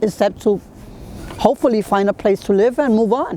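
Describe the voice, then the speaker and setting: A woman with a New York accent speaks fairly quickly in a fairly high voice with lively intonation, over noticeable background noise. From Brooklyn, New York. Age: 60s. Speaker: long-time resident. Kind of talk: interview.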